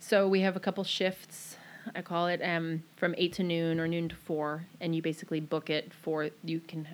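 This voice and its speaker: The speaker has an American accent and a normal speaking voice at a moderate pace. The recording is very clean, with a silent background. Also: woman. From Maryland, US. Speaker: small business owner. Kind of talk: casual interview.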